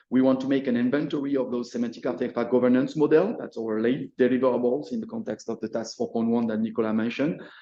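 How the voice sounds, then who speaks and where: Fairly even intonation and a dark, mellow tone go with a very fast pace. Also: man. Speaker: workshop organiser presenting. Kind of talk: presentation. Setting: hybrid workshop with audience. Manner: halting, many repetitions.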